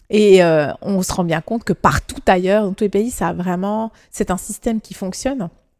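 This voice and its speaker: In an ordinary speaking voice, a woman at a medium pitch talks at a moderate pace with ordinary pitch variation and hardly any pauses, the sound dry and close with no echo. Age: 30s. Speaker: politician and lawyer. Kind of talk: interview.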